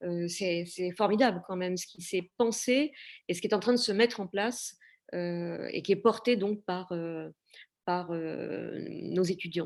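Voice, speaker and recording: A woman speaks at a medium pitch with ordinary pitch variation. The recording is very clean, with a silent background. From Normandy, France (Cabourg). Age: 60s. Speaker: discussion moderator. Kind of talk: panel discussion Q&A. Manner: hesitant, many fillers.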